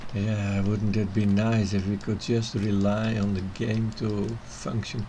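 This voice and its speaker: Speaking with a Dutch accent, a man keeps a fairly low pitch, fairly even intonation, and a very slow pace. Noticeable background noise and audible room echo fill the recording. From Netherlands. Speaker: video game streamer. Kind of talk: live gameplay commentary.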